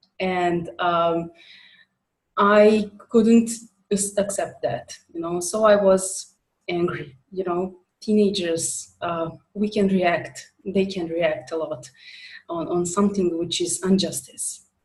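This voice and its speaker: Speaking very slowly with a Serbo-Croatian accent, a woman sounds somewhat breathy, her intonation fairly even. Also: medium pitch for a woman. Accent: Balkan (Serbo-Croatian) accent in English. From former Yugoslavia. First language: not English. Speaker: author and coach. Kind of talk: interview. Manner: halting, many fillers.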